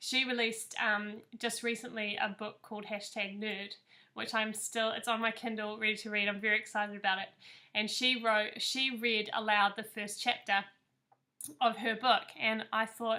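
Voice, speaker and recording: At a moderate pace, a bright, sharp voice with a New Zealand accent delivers its words in a flat monotone. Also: woman, fairly high pitch for a woman. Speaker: author. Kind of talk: reading aloud; casual chat.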